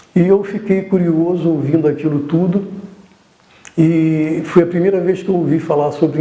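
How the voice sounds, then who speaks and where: Through audible room echo and noticeable background noise, a man speaks at a moderate pace with a fairly high pitch and fairly even intonation. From Brazil, Rio de Janeiro. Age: 60s. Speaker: artist, painter. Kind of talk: testimony. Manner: halting.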